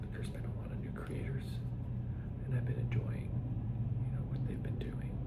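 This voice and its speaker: Over noticeable background noise, a man speaks at a moderate pace in a gentle, relaxed tone. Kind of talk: ASMR soft-spoken chat to camera. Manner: soft-spoken, gentle, relaxed.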